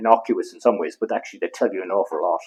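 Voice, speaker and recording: A man talks at a very fast pace. He has an Irish accent. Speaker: veterinarian. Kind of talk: interview answer.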